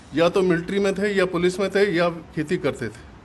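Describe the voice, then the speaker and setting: With fairly even intonation, a man talks at a high pitch. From Punjab, Pakistan (Jhelum district). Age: 80s+. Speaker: partition survivor, businessman. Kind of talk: testimony. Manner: halting.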